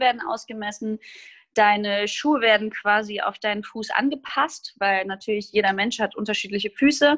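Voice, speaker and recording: This woman has a plain, everyday voice with ordinary pitch variation. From Hesse, Germany (Groß-Gerau). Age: 20s. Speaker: musical theatre performer. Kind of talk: casual interview chat.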